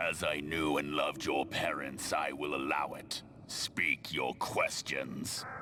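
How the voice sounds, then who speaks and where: Using a put-on character voice, a man speaks at a fairly slow pace over clear background noise. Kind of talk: epic fantasy villain. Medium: video game. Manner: imperious, commanding.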